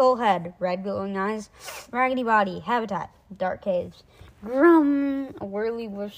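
This is an unforced reading voice. Nothing more is audible.

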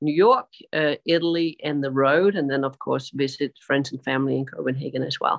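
A woman speaks at a moderate pace in a very deep, low voice, with fairly even intonation. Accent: Danish. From Denmark. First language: Danish. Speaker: sustainability advisor and gender equality advocate. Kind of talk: interview. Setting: video call, outdoors on a terrace.

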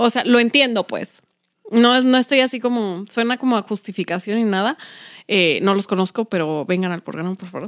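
An ordinary speaking voice from a woman, fairly high in pitch with ordinary pitch variation and a moderate pace, comes through a very clean recording, silent background, with a dry, close sound with no echo. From Mexico City, Iztapalapa. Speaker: podcast co-host. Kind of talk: casual chat.

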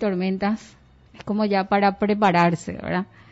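A woman with an ordinary speaking voice speaks at a medium pitch, at a fairly slow pace and with fairly even intonation. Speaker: radio host. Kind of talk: radio news talk show.

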